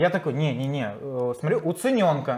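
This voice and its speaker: The pace is moderate. Pitch variation is ordinary. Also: man. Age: young. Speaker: customer telling his story about a laptop return; guest. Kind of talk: casual interview. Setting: computer repair workshop. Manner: hesitant, with many fillers. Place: studio.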